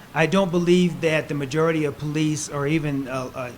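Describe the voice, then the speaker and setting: With noticeable background noise behind him, a man talks in a fairly high voice at a moderate speed. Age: 60s. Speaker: political candidate. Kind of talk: political debate. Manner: emphatic.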